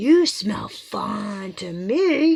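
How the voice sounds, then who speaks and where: Put-on character voice from a woman, medium in pitch. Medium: read story.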